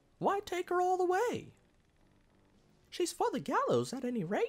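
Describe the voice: A squeaky put-on character voice with an extremely high pitch moves along at a moderate pace.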